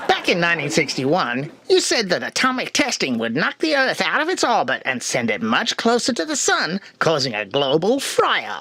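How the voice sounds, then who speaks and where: A man's high-pitched, cartoonish character voice with very wide pitch swings, a moderate pace and hardly any pauses. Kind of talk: talk show host patter. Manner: sardonic, breezy.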